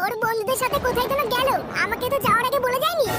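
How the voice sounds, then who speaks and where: A woman does a squeaky, cartoonish character voice at an extremely high pitch and a very fast pace. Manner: sharp, combative.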